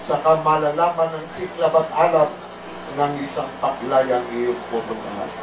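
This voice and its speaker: Over noticeable background noise, a man with a fairly high pitch talks at a fairly slow pace with fairly even intonation. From Philippines. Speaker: poet. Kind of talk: poetry reading. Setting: gathering with audience. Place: bar.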